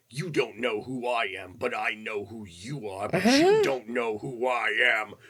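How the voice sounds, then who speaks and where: Putting on a character voice, a man speaks at a medium pitch with hardly any pauses. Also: moderate pace. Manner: menacing, scary.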